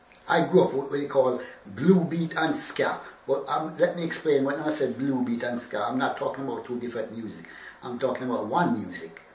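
A man speaks at a fairly quick pace with audible room echo and light background noise. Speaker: interviewee. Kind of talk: interview answer. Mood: relaxed, friendly. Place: home room.

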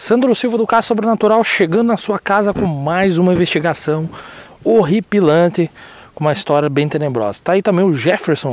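A man talks at a fairly quick pace with lively intonation. The sound is dry, with no echo. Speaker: paranormal channel host. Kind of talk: casual vlog intro narration. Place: forest.

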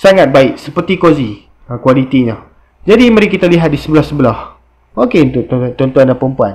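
A man talks with lively intonation. The background is quiet. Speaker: motorbike parts seller. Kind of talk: product review tutorial. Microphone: phone near.

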